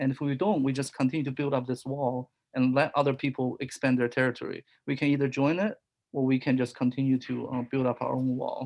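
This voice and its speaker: This speaker has a non-native accent. The pace is very fast. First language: not English. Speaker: discussion group participant. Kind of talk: group discussion.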